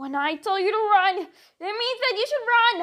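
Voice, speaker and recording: A put-on character voice that sounds female, pitched extremely high for a woman. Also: moderate pace. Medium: read story. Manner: brash, cheeky.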